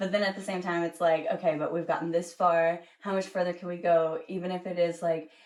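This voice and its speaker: The intonation is monotone and flat, at a fairly quick pace. Noticeable background noise sits behind the speech. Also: woman, fairly low pitch for a woman, hardly any pauses. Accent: slight Southern US. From US South. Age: 20s. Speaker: singer-songwriter. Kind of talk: casual interview chat.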